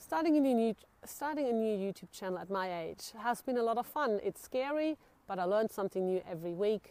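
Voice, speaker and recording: A woman speaks with a fairly high pitch and a dark, mellow tone. Her intonation is lively, and the sound is dry and close with no echo. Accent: non-native. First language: not English. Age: 40s. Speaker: solo living vlogger. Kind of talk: casual talk to camera. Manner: halting, with fillers.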